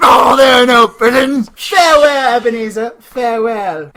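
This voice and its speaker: Shouting in a put-on character voice, the speaker keeps a moderate pace at a fairly high pitch. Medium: audio drama. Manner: solemn, commanding.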